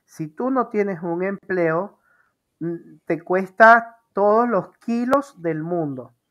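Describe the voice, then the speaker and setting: Lively intonation marks this woman's medium-pitched voice. The recording is very clean, the background silent. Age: 40s. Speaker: interview show host. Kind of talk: casual interview. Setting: live video stream.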